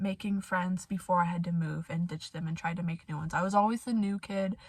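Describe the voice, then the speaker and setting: A woman's somewhat breathy voice. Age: 20s. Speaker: vlogger telling personal story. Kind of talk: personal testimony monologue. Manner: hesitant, many fillers.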